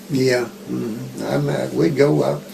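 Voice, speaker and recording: A man with an American accent speaks very slowly with very wide pitch swings, noticeable background noise behind him. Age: 80s+. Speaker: retired math teacher. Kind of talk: interview answer.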